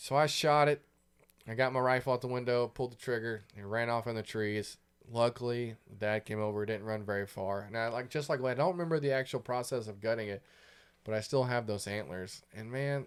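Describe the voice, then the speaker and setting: A man speaks at a fairly quick pace in a plain, everyday voice, with ordinary pitch variation. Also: medium pitch for a man, very clean recording, silent background. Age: 30s. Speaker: podcast host. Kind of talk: casual chat.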